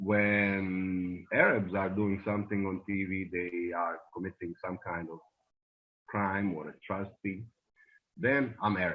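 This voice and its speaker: A man speaks with a slight Bosnian accent. His pitch is fairly low and his intonation fairly even. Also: fairly slow pace. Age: 20s. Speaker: immigrant interviewee. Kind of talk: interview.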